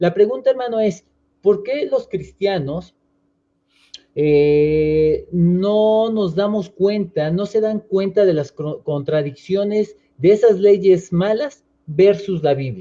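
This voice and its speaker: A man with a high voice talks very slowly, his pitch varying in an ordinary way. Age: 30s. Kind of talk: interview.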